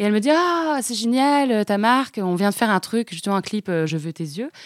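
Recorded with a dry, close sound and no echo, a woman talks at a fairly quick pace with very wide pitch swings. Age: 30s. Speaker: entrepreneur, accessories brand founder. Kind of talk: interview.

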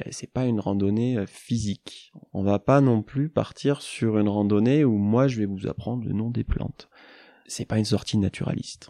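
At a moderate pace, a man talks with a dark, mellow tone, a medium pitch and ordinary pitch variation. The sound is dry and close with no echo, over a quiet background. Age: 20s. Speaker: forest therapy guide. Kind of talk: casual interview. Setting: mountain chalet.

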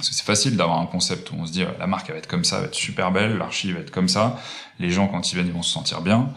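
A man with a fairly low pitch talks at a very fast pace with lively intonation, with audible room echo and noticeable background noise. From Paris region, France (Fontainebleau). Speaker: hospitality design entrepreneur. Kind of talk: interview. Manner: halting, many repetitions and fillers.

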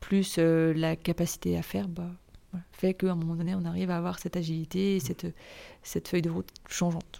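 A woman's dark, mellow voice in a monotone, flat intonation at a moderate pace, on a very clean recording with a silent background. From France, Nantes. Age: 30s. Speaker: association director and freelance event organiser. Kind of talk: interview. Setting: in person at the guest's offices.

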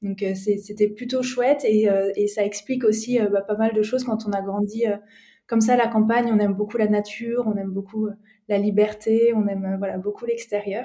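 With a dark, mellow tone, a woman speaks at a moderate pace in a fairly high pitch, her intonation monotone and flat. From France, Alsace (Strasbourg). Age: 30s. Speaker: entrepreneur, co-founder of a nutrition coaching company. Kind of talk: podcast interview. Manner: hesitant, many fillers.

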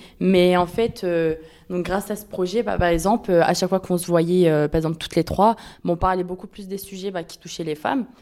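A woman's voice with a dark, mellow tone, medium pitch, fairly even intonation, a fairly quick pace and big swings in loudness. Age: 20s. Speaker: university student, podcast interviewer. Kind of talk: casual group discussion.

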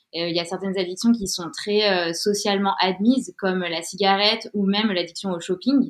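A woman talks in a normal speaking voice at a medium pitch. Her pace is moderate, with hardly any pauses. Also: ordinary pitch variation. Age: 30s. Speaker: freelance communications writer sharing a health story. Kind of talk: testimony.

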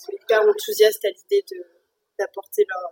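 A woman's voice, dry and close, with no echo. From France. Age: 30s. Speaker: mother sharing birth experience. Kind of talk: testimony. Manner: halting, many repetitions and fillers.

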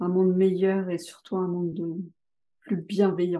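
Dark, mellow tone from a woman at medium pitch. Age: 30s. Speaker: trainee sophrologist. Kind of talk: interview testimony.

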